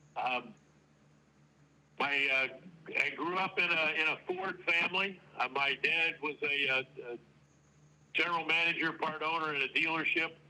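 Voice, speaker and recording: Over noticeable background noise, a man with a fairly high pitch speaks with long, frequent pauses. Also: fairly even intonation, moderate pace. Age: 70s. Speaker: retired auto plant manager. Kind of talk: interview. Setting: remote audio-only call. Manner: halting, many fillers.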